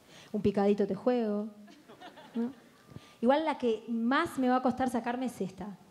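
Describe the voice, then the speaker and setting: With long, frequent pauses, a woman speaks at a moderate pace in a fairly high pitch with ordinary pitch variation. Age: 20s. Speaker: comedian. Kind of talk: stand-up. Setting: stage with audience. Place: stage. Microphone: handheld.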